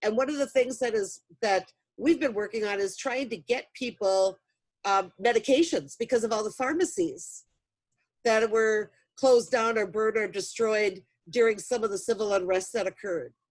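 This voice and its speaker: A woman with a plain, everyday voice speaks at a fairly high pitch with lively intonation. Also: moderate pace. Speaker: mental health trainer. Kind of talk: virtual training presentation.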